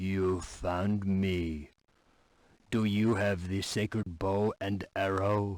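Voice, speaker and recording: Using a put-on character voice, a man speaks at a very slow pace with a fairly low pitch and monotone, flat intonation. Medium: video game. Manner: earnest, brief.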